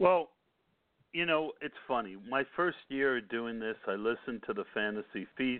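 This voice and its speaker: A man talks in a plain, everyday voice at a medium pitch. His intonation is lively. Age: 50s. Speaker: fantasy football podcast host. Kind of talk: casual chat.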